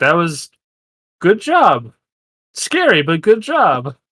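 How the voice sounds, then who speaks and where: At a very slow pace, a man uses a put-on character voice pitched high. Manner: sinister.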